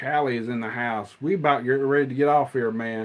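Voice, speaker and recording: A medium-pitched man with an American accent at a moderate pace, his intonation fairly even. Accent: redneck. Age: 40s. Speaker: movie collector streamer. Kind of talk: casual chat. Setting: live stream.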